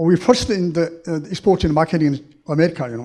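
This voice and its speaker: Pitch varies in an ordinary way while the pace stays moderate. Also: man. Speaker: audience member, former engineer and professor. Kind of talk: audience question. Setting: university hall with audience. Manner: halting.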